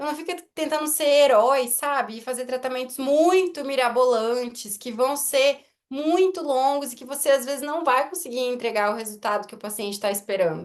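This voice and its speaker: A woman speaks at a moderate pace in a high pitch, with hardly any pauses. Her loudness swings widely. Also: ordinary pitch variation. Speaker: orthodontist. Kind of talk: lecture.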